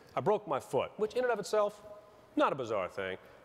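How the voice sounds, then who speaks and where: Over noticeable background noise, a man with an American accent talks very fast, his pitch swinging very widely. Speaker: stand-up comedian. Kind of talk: stand-up comedy set. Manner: insincere, playfully self-delusional.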